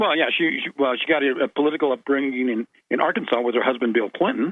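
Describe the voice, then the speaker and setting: Speaking at a very fast pace, a man with a fairly high pitch keeps very even loudness and ordinary pitch variation. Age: 60s. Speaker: radio guest. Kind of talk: casual chat. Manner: halting, stammering repetitions.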